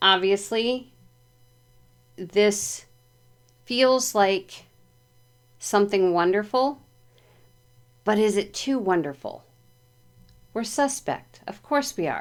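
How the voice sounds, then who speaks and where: A soft-spoken woman of medium pitch talks at a very slow pace with long, frequent pauses and ordinary pitch variation. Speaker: tarot reader. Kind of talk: tarot reading.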